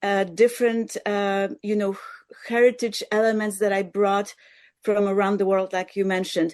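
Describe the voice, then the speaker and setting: Delivered at a moderate pace with a Polish accent, the speech runs in a monotone, flat intonation. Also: woman, medium pitch for a woman. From Poland. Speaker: musician. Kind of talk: interview.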